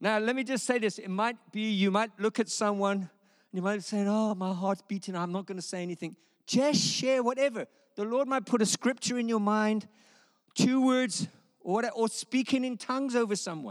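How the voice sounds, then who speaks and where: The recording is very clean, with a silent background. The speaker sounds animated, talking at a moderate pace with ordinary pitch variation. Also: man, high pitch for a man. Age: 60s. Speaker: preacher. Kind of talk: sermon.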